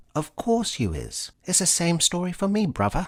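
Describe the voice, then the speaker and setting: In a put-on character voice with a Cockney accent, a man speaks nasally at a moderate pace and high pitch on a very clean recording with a silent background. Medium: read story. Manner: verbose pseudo-intellectual.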